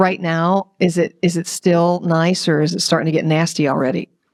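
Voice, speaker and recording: Her pitch is fairly low, and this woman keeps a moderate pace. The sound is dry and close, without echo. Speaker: musician and interviewer. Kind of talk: casual interview chat. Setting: remote call from home. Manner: loud.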